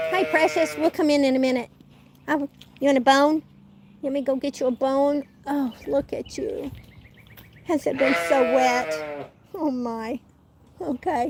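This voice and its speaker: A woman with a Southern US accent speaks high-pitched at a fairly slow pace, with lively intonation, long and frequent pauses, and noticeable background noise. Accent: southern twang. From Oklahoma. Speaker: YouTube homesteading vlogger. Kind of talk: casual live stream chat.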